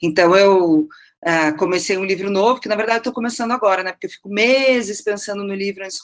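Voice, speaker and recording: A woman rattles along at a very fast pace in a medium pitch. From southern Brazil, Curitiba. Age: 40s. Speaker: novelist. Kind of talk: interview.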